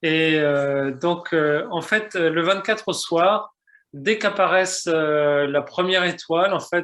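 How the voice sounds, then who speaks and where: Speech unfolds very slowly. The pitch rises and falls in an ordinary way. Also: man. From France, Mayenne. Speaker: pilgrimage agency owner. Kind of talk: testimony. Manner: halting.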